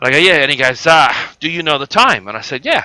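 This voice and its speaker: Very fast male speech in an Australian accent, bright and sharp in tone, with a dry, close sound and no echo. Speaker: gaming live streamer. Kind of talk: casual storytelling during game stream. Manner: animated.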